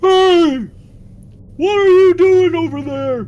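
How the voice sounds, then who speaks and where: A squeaky, extremely high put-on character voice at a fairly slow pace. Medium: actual play. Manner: blustering, shouty.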